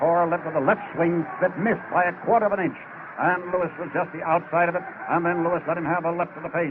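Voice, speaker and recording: An excited man talks at a fairly quick pace and a high pitch. Noticeable background noise runs behind him. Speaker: radio boxing commentator. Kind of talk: live radio sports commentary, ringside play-by-play. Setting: ringside at a live boxing arena, vintage radio recording. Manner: fast, excited, rapid-fire call of the action.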